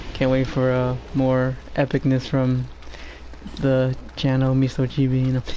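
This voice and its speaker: Against noticeable background noise, a man at medium pitch speaks at a fairly slow pace with monotone, flat intonation. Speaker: game streamer. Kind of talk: live gameplay commentary. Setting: live stream. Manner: halting. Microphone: quiet microphone turned up.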